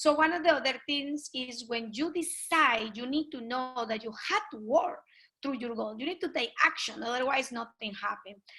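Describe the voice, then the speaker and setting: A raised, projected voice in a Colombian accent, bright and sharp in tone, with lively intonation, big swings in loudness and a moderate pace. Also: woman, high pitch for a woman. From Colombia (Pasto, south). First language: Spanish. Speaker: network marketing leader. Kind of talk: interview. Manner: animated.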